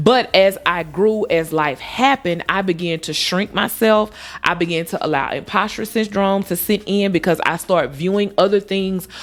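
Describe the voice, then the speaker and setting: An animated woman's voice at medium pitch, with ordinary pitch variation and a moderate pace. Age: 40s. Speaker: lifestyle vlogger. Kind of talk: casual monologue to camera. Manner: loud, outgoing.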